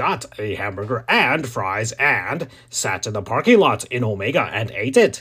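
Reading aloud, plain

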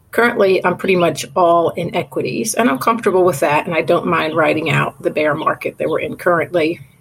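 A plain, everyday voice from a woman, fairly low in pitch, with ordinary pitch variation, a fairly quick pace and hardly any pauses. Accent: American. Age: 50s. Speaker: caller. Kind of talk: recorded voicemail question.

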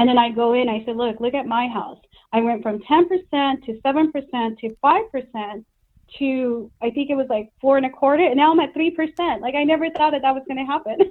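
Speaking at a moderate pace, a woman with an American accent has a high pitch. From Los Angeles, US. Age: 40s. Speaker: real estate agent. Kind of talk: interview.

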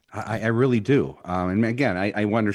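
This man talks at a very fast pace with a fairly low pitch and ordinary pitch variation. The recording is very clean, with a silent background. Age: 50s. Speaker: business executive. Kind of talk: interview. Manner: halting, many fillers and restarts.

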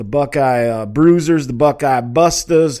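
With an American accent and a normal speaking voice, a man talks fairly slowly at a fairly high pitch in a very clean recording with a silent background. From Minnesota. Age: 40s. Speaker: sports talk radio host. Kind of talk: casual live sports talk show.

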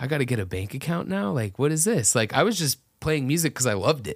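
A man's normal speaking voice with an American accent, lively intonation and a fairly quick pace, on a very clean recording with a silent background. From US South, Atlanta area. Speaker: metal band singer. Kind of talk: casual chat. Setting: studio, in person.

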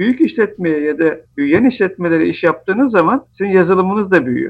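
With lively intonation, this man speaks at a moderate pace. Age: 40s. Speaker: software company founder and CEO. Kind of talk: interview.

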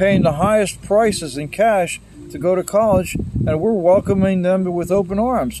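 A high-pitched man with an American accent, against noticeable background noise. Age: 60s. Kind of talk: casual conversation with political opinions.

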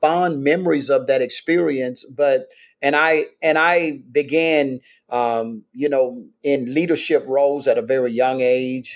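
The speaker has a Mississippi accent and ordinary pitch variation. The recording is very clean, with a silent background. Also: man. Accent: Mississippi Southern US. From US South, Meridian, Mississippi. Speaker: pastor. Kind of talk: interview, life story.

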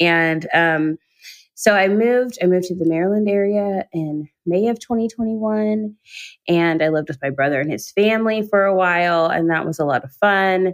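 A woman with an American accent and a normal speaking voice talks at a medium pitch and a moderate pace, her pitch varying in an ordinary way. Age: 30s. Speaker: author and activist. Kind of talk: interview conversation.

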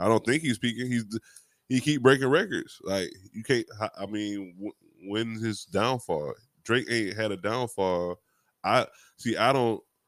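On a very clean recording with a silent background, a man at medium pitch talks at a fairly slow pace with ordinary pitch variation and long, frequent pauses. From Miami, Florida. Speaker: podcast host guest. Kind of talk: casual chat.

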